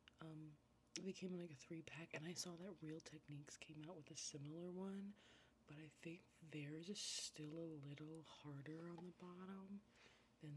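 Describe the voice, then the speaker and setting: A soft-spoken, somewhat breathy woman with a fairly low pitch, relaxed tone, ordinary pitch variation and fairly slow pace. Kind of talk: ASMR get-ready-with-me makeup video, casual talk to camera. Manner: soft-spoken, relaxed.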